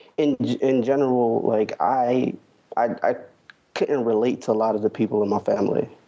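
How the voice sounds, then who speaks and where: A man at a moderate pace, his loudness very even. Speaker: caller. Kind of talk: casual chat. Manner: halting.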